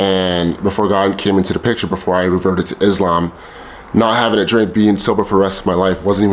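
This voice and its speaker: A man's fairly low, monotone voice with flat intonation at a fairly quick pace, over noticeable background noise. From El Salvador heritage. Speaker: vlogger. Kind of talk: personal testimony monologue. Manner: casual, with filler repetitions.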